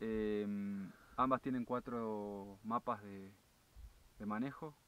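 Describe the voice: Fairly bright tone with an Argentine accent. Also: man.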